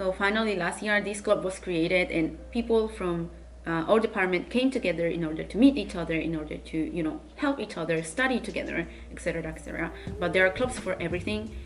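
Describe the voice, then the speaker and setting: A very fast pace in a Spanish accent, with noticeable background noise. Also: woman. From Spain. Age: 20s. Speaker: university student vlogger. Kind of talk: casual Q&A vlog.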